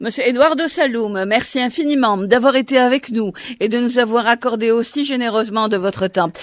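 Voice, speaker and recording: Hers is an unremarkable speaking voice, a woman at a fairly high pitch and moderate pace with ordinary pitch variation. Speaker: radio journalist. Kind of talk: radio interview. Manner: formal.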